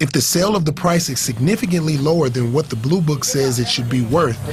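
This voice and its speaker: At a fairly quick pace, a man speaks with a plain, everyday voice, fairly high in pitch, with ordinary pitch variation. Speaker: TV news reporter. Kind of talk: TV news report.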